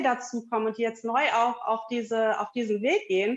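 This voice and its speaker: Her pace is moderate as the woman talks. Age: 40s. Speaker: yoga teacher. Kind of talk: interview. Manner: hesitant, many fillers.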